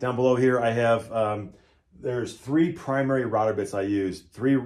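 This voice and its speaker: Here is a man with an unremarkable speaking voice. His medium pitch shows ordinary variation. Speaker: woodworker and small business owner. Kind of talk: casual shop tour walkthrough. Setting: wood shop. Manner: casual, many fillers and restarts.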